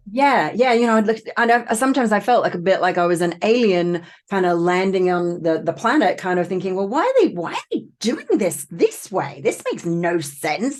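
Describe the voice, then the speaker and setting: Lively intonation and a slight Australian accent come through at a moderate pace with hardly any pauses. The background is quiet. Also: woman, medium pitch for a woman. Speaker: trauma coach and author. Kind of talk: podcast interview.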